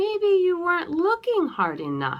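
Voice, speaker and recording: Putting on a character voice, a woman speaks at a fairly slow pace in an extremely high, squeaky pitch with a gentle tone. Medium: read story. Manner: gentle, patient.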